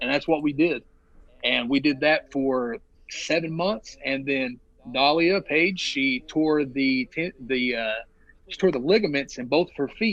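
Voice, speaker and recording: A fairly high-pitched man with a Southern US accent, a fairly slow pace and ordinary pitch variation. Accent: noticeable Southern US. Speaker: professional wrestler. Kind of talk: podcast interview. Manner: long-winded storytelling.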